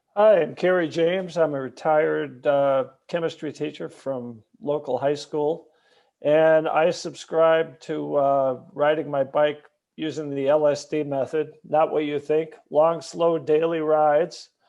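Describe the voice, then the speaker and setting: Delivered at a fairly slow pace, an unremarkable speaking voice keeps a fairly even intonation. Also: man, fairly high pitch for a man. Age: 60s. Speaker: retired chemistry teacher, panelist. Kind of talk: panel discussion introduction.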